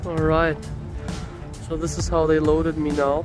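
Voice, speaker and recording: Music plays in the background of a dry recording with no echo. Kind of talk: casual vlog chat. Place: open country. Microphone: phone near.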